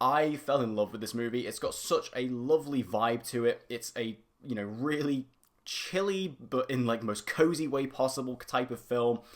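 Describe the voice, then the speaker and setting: Here a man speaks in a British accent at a medium pitch, his tone animated. The recording is very clean, with a silent background. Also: ordinary pitch variation, moderate pace. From UK. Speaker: YouTube film reviewer. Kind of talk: casual monologue video.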